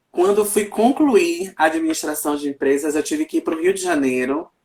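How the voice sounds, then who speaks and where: A man speaks in an ordinary speaking voice. His pace is moderate and his pitch variation ordinary. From Brazil, Salvador, Bahia. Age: 30s. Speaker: journalist, writer and Candomblé priest. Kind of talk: casual chat.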